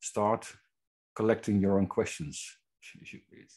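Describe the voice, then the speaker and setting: A man with a Dutch accent speaks against a quiet background. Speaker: webinar host. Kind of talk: introduction.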